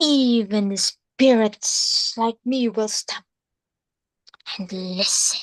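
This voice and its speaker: In a put-on character voice, a female-sounding voice speaks at a very slow pace with a fairly high pitch and long, frequent pauses. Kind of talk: speech-contest performance. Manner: spooky.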